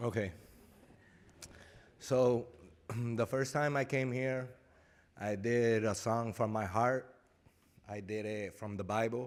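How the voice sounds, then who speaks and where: At a very slow pace with long, frequent pauses, a man speaks in a Spanish accent at a medium pitch, his intonation fairly even. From Puerto Rico. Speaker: rapper. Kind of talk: stage chat.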